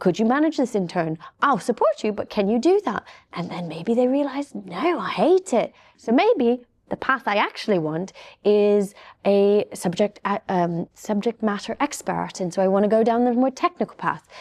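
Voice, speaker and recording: A woman's fairly high voice with a British accent, lively intonation, a moderate pace, and a dry, close sound with no echo. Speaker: cybersecurity panelist. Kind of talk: panel discussion. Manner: soft-spoken.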